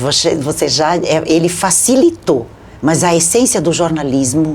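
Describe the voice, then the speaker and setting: Over noticeable background noise, a woman with a very deep, low pitch speaks at a moderate pace with lively intonation. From southern Brazil (Rio Grande do Sul). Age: 60s. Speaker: journalist and media consultant. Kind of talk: interview.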